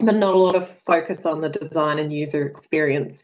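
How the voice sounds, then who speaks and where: A woman with an Australian accent. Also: quiet background. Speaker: sports tech co-founder. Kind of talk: webinar presentation. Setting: video call. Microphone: video call.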